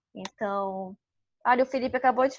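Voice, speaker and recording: A woman speaks in a Manaus accent at a fairly slow pace. Her intonation is fairly even, over a quiet background. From Manaus, Amazonas, Brazil. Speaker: workshop co-leader. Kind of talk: online workshop. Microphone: unstable internet connection.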